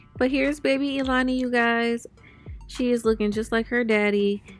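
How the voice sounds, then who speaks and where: A woman talks at a moderate pace over faint background music. The sound is dry, with no echo. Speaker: new mother vlogger. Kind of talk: casual vlog chat. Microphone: phone near.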